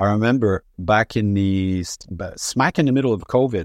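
In a Quebec accent, a man talks at a moderate pace with a fairly low pitch and ordinary pitch variation. The background is quiet. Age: 60s. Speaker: rock band frontman. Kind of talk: interview. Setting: remote call from home.

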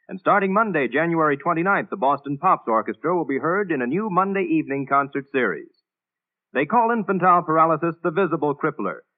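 A man talks at a very fast pace with a high pitch and lively intonation. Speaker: announcer and narrator. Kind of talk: scripted dramatic narration. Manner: crisp, formal, authoritative.

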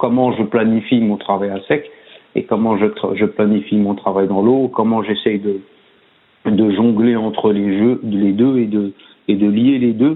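At a fairly slow pace with long, frequent pauses, a man speaks in a fairly low pitch with fairly even intonation. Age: 40s. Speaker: swimming coach. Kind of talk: casual interview. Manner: hesitant, many fillers and repetitions.

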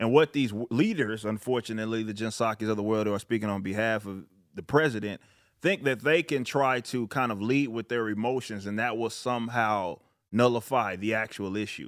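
In a very clean recording with a silent background, a man speaks fairly quickly in a plain, everyday voice with fairly even intonation. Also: medium pitch for a man. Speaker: YouTuber and rapper. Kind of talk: casual chat.

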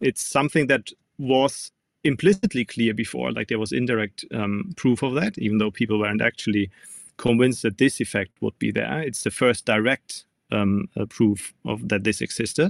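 In a dry, close recording with no echo and a silent background, a man speaks at medium pitch with vocal fry, a German accent, ordinary pitch variation and a moderate pace. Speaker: physics professor. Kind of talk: interview. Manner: halting, frequent um and uh.

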